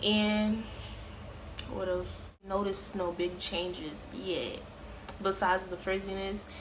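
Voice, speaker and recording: Room echo is audible as a woman talks at a very slow pace. Her intonation stays monotone and flat. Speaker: beauty vlogger. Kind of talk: casual vlog talk. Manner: hesitant, filler-heavy.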